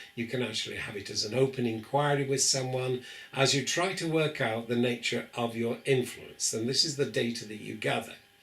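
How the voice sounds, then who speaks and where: In a room with audible echo, a man with a British accent speaks at a moderate pace. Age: 70s. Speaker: professor. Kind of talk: lecture. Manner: hesitant fillers.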